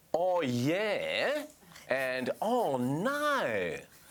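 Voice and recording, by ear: A man puts on a character voice with an Australian accent. His pitch is high and his tone is nasal. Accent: Australian, poor imitation.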